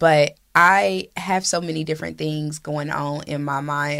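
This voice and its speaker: A woman with an American accent and a very deep, low pitch speaks with fairly even intonation on a very clean recording with a silent background. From Indianapolis, Indiana, US Midwest. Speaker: community leader and nonprofit director. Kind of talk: casual interview.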